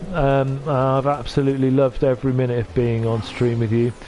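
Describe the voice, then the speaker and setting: With a Welsh accent and noticeable background noise, a man talks at a fairly slow pace in a medium pitch with fairly even intonation. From North Wales. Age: 50s. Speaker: streamer and voice actor. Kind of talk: casual chat. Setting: live stream.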